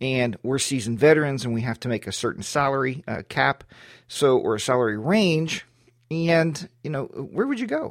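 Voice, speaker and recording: An ordinary speaking voice from a man, fairly high in pitch, with lively intonation at a moderate pace, on a very clean recording with a silent background. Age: 50s. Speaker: IT podcast host, systems administrator. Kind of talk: casual monologue.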